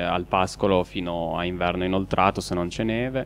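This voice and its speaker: Intonation stays fairly even as the voice moves at a moderate pace. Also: man. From Piedmont, Alba. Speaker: goat farmer. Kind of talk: live cooking show interview.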